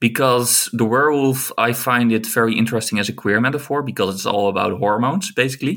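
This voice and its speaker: A man's very fast speech with a Dutch accent, medium pitch, hardly any pauses, and a very clean recording with a silent background. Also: ordinary pitch variation. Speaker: film scholar and writer. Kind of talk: casual chat.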